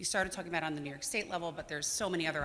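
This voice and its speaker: A woman speaks loudly in a bright, sharp tone. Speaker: audience member asking a question. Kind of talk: audience question.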